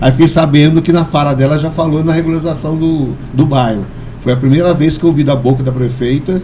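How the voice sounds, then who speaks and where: A man at a fairly high pitch and a fairly quick pace, with noticeable background noise and audible room echo. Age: 60s. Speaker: community leader and metalworker. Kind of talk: podcast interview. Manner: halting, frequent repetitions.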